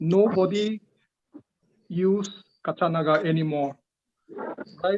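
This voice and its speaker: A man's high-pitched voice at a fairly slow pace, fairly even in intonation, with a dry, close sound and no echo. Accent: Northeast Indian. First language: Liangmai. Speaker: linguistics researcher giving feedback. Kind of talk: academic feedback in a seminar. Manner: hesitant, many fillers.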